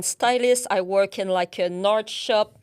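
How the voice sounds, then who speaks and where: A woman with a French Canadian accent at a fairly slow pace, on a very clean recording with a silent background. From Quebec, Canada. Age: 30s. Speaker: account manager. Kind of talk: interview.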